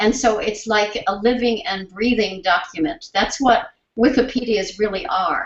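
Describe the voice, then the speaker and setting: A woman talks at a moderate pace with a fairly high pitch and ordinary pitch variation. It is an ordinary speaking voice. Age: 60s. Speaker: sign language researcher and symposium host. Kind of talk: conference presentation closing remarks. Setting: symposium with live audience and interpreters.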